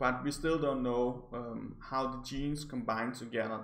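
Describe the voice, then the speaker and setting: Male speech in a non-native accent at a moderate pace. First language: not English. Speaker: psychology graduate. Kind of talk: article review to camera. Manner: hesitant, stammering.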